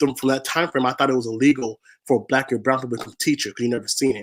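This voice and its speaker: A man with an American accent, medium in pitch, with monotone, flat intonation. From Washington state, US (SeaTac). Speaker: spoken word poet and activist. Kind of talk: interview.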